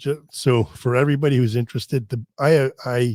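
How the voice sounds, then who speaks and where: This is a man with a medium pitch and an unremarkable speaking voice. His pitch varies in an ordinary way, and he keeps a moderate pace. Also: dry, close sound with no echo. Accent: American. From US Northeast, Connecticut. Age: 50s. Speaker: fitness expert and research scientist. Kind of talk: podcast interview. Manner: casual, many restarts and fillers.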